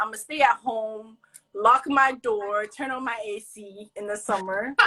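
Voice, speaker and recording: A woman with a fairly high pitch speaks in an animated, bright, sharp tone with ordinary pitch variation. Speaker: college student, social media creator. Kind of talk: casual chat. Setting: live video stream. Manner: loud.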